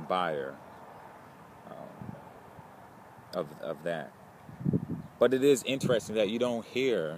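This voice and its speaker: A man speaks at a fairly slow pace with ordinary pitch variation. The sound is dry with no echo, though background noise is noticeable. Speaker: film student vlogger. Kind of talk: casual vlog chat. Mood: reflective, calm. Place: garden. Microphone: phone near.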